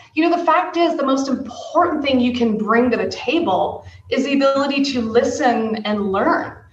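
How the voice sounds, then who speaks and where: Over noticeable background noise and audible room echo, a woman talks in an animated tone at a high pitch with ordinary pitch variation. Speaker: tech executive. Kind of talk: interview. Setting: podcast. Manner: fast.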